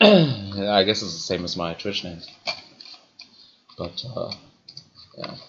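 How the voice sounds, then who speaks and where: Speaking at a very slow pace with long, frequent pauses, a man uses a fairly low pitch with ordinary variation and big swings in loudness. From partly Colorado, US (ages four to eleven). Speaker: gaming streamer. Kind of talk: casual chat while gaming livestream.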